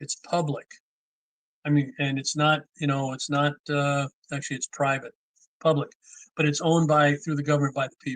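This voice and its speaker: A man with an American accent speaks at a fairly high pitch, his somewhat breathy voice captured dry and close with no echo. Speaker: seminar teacher on law. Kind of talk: livestream lecture. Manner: fast.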